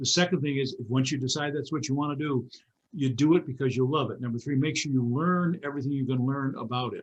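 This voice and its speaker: A man speaks at a very fast pace in a fairly high pitch. His voice is somewhat breathy. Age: 80s+. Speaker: motivational speaker. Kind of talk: interview. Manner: animated; halting.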